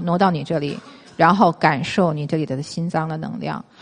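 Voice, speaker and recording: A woman talks at a fairly quick pace. She has an unremarkable speaking voice with fairly low pitch. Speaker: traditional Chinese medicine lecturer. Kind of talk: lecture. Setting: stage with audience.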